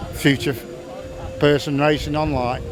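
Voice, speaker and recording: A man talks at a fairly slow pace and a fairly high pitch, his intonation fairly even. Music plays in the background amid audible room echo. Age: 60s. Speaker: retired stock car driver. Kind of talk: casual interview.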